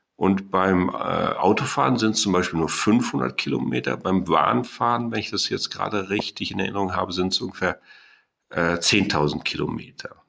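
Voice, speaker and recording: Vocal fry runs through a bright, sharp tone with lively intonation. The recording is very clean, with a silent background. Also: man, very deep, low pitch for a man, moderate pace. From Germany, Sauerland. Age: 60s. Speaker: mathematics professor. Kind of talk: interview. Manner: hesitant, many filler sounds.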